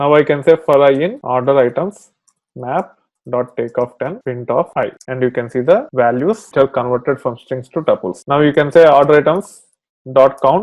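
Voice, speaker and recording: Ordinary pitch variation at a moderate pace, a normal speaking voice. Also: man, fairly high pitch for a man. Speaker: programming instructor. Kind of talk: tutorial.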